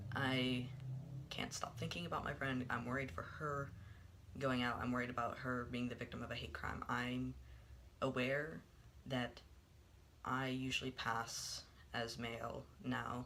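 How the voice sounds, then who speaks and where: Speech broken by long, frequent pauses, with noticeable background noise throughout. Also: man, medium pitch for a man, fairly even intonation, fairly slow pace. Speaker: vlogger. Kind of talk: personal vlog monologue. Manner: halting, many filler words.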